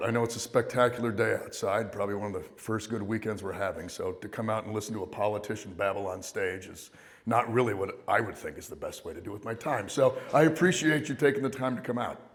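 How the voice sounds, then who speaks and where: The speaker talks very fast with hardly any pauses and ordinary pitch variation. Loudness swings widely, and the room echo is audible. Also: man. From Maine (Down East, Hancock County). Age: 40s. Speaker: political candidate. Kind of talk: campaign speech. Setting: high school auditorium with audience.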